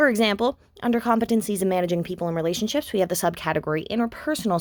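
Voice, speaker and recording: A woman with a Canadian accent talks at a very fast pace with lively intonation. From Canada. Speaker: graduate student. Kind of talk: scripted presentation. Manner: loud; animated.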